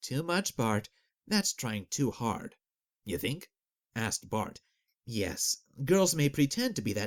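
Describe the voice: Quiet surroundings and plain reading aloud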